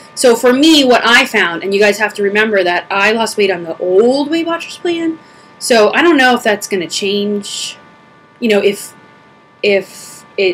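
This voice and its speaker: The speech moves at a moderate pace while noticeable background noise sits beneath it. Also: woman, fairly high pitch for a woman, lively intonation. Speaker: video blogger. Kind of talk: casual q&a vlog. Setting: home video recording, camera on pedestal. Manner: huffing and puffing.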